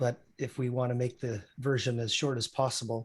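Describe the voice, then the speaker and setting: A man speaks at medium pitch and a moderate pace with a Canadian accent, his voice somewhat breathy and his intonation monotone and flat. The recording is very clean, with a silent background. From Saskatchewan, Canada. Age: 60s. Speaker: physician. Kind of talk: interview.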